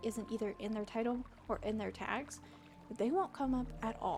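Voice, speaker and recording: Noticeable background noise sits behind a soft-spoken woman at a moderate pace. Her pitch is fairly high, and her intonation is fairly even. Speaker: VTuber streamer. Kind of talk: casual chat. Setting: livestream. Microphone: mic too quiet.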